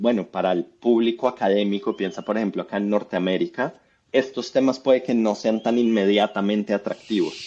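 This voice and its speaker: A man with a Colombian accent speaks at a fairly quick pace, his medium-pitched voice dark and mellow in tone with ordinary pitch variation. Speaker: economics professor. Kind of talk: interview.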